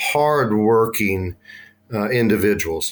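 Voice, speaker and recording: Speaking in a Texan accent, a man keeps a medium pitch with ordinary pitch variation. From Texas, north of Dallas-Fort Worth. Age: 50s. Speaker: school transportation director. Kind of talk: podcast interview. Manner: halting, many fillers and repeats.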